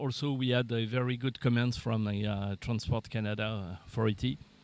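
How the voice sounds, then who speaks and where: A man speaks at a fairly slow pace in a French accent, his pitch medium. The recording is very clean with a silent background. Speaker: aircraft manufacturer representative. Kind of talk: interview. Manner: halting, many fillers.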